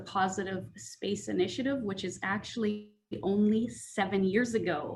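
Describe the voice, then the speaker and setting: In a Canadian accent, the speaker talks at a moderate pace in a somewhat breathy voice, with audible room echo. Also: woman. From Canadian Prairies (small-town Manitoba and Saskatchewan). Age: 40s. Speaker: public service trainer. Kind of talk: panel introduction.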